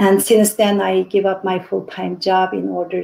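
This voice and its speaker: Speaking at a fairly slow pace, a woman talks with a Xinjiang accent. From Urumqi, Xinjiang. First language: Uyghur. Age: 50s. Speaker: activist. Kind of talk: interview. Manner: halting.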